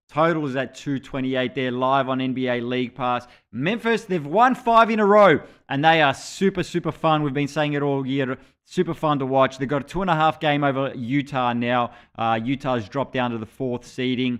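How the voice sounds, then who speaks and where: Speaking with an Australian accent, a man uses a fairly high pitch, ordinary pitch variation and a moderate pace. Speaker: basketball show host. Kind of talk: sports betting preview show. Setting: live stream.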